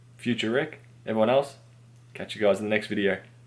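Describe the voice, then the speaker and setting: A man with an Australian accent, fairly low pitch, ordinary pitch variation and a fairly quick pace. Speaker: tech repair youtuber. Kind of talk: tutorial. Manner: casual.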